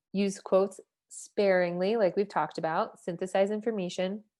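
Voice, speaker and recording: In a very clean recording with a silent background, a woman with an unremarkable speaking voice talks at a moderate pace, medium pitch and fairly even intonation. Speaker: writing workshop leader. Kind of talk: workshop lecture.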